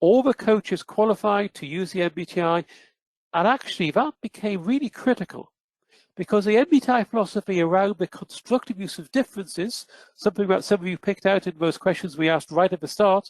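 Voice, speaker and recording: A man with a British accent talks very fast in a high pitch with ordinary pitch variation. The sound is dry and close with no echo, and the background is quiet. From United Kingdom. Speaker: psychometrics researcher presenting a webinar. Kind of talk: webinar presentation. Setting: online webinar.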